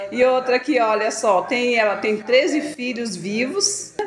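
A woman speaks with a high pitch. Light background noise is audible. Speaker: vlogger, daughter of the birthday woman. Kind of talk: casual vlog talk to camera. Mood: cheerful, festive. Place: kitchen. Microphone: phone near.

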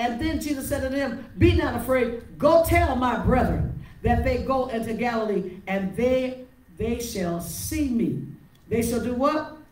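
Someone speaks at a fairly slow pace with audible room echo. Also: woman. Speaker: preacher. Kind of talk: sermon. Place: church. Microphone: handheld.

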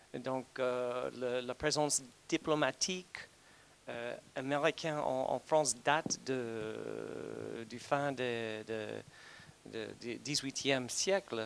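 Light background noise sits behind a man's voice. He speaks at a very slow pace with ordinary pitch variation. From United States. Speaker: diplomat. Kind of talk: conference talk. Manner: halting. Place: hall. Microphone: handheld.

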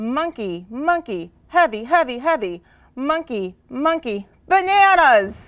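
In a put-on character voice, a woman speaks slowly at a high pitch with big pitch swings.

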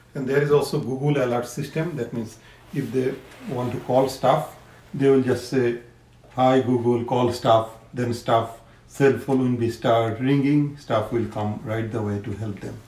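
Audible room echo surrounds a man speaking at a fairly slow pace with fairly even intonation. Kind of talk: interview answer. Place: home room. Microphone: phone near.

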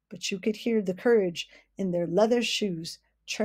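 Pitch varies in an ordinary way. The text is read aloud in a natural voice against a quiet background.

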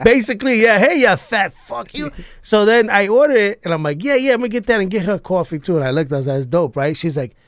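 Someone talks very fast in a New York accent with lively intonation, in a dry sound with no echo and a quiet background. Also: man. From New York, Puerto Rican family. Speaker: comedian and army veteran; podcast guest. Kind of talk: casual chat. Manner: animated. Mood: joking, animated. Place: studio. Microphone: studio mic.

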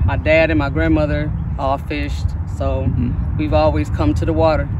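Loud background noise surrounds a woman with an American accent speaking at a fairly quick pace. The sound is dry, with no echo. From Toledo, Ohio. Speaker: recreational angler. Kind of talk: interview. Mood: calm, content. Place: waterside. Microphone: camera far.

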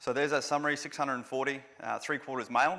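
Against a quiet background, a man with an Australian accent speaks at a fairly high pitch with vocal fry and a bright, sharp tone. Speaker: veteran advocate, conference organiser. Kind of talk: conference presentation. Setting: conference venue with live audience. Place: hall. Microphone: podium.

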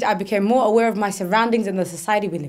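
A woman's voice with ordinary pitch variation over a quiet background. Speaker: spoken word performer. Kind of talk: spoken word poetry performance, a personal reflective piece. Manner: earnest, shifting from playful and whimsical to sombre and then hopeful. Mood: reflective, earnest. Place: studio.

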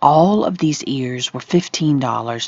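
The voice moves at a fairly slow pace in a dry sound with no echo. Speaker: shopping vlogger. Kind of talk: casual vlog chat. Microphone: phone near.

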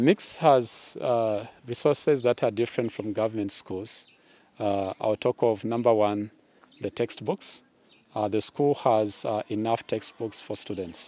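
Here a man talks at a fairly slow pace in a dark, mellow tone with fairly even intonation. The sound is dry, without echo. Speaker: secondary school teacher. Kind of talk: interview answer. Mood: friendly, smiling, explanatory. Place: open country.

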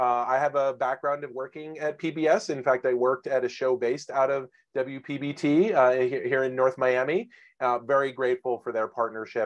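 Against a quiet background, a man is speaking. He keeps a moderate pace and fairly even intonation. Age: 40s. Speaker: webinar host, former journalist. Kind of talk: webinar moderation. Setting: video call. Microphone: video call.

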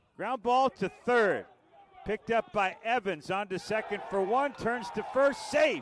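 In a dry, close sound with no echo but noticeable background noise, a man with a high pitch speaks in an animated tone at a fairly slow pace with ordinary pitch variation. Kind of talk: live play-by-play sports commentary. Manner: animated, rising excitement on big hits.

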